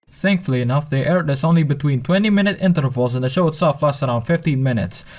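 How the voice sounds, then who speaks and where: Speaking at a very fast pace, a man with a fairly high pitch sounds somewhat breathy, keeping very even loudness and ordinary pitch variation. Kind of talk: commentary voiceover.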